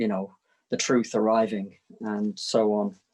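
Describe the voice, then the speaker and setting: A man speaks at a medium pitch. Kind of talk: relaxed spiritual conversation about poetry. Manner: hesitant, rambling.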